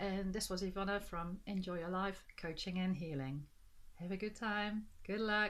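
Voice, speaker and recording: A woman's voice carries a bright, sharp tone. She talks at a moderate pace. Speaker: life coach and energy healer. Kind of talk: vlog monologue.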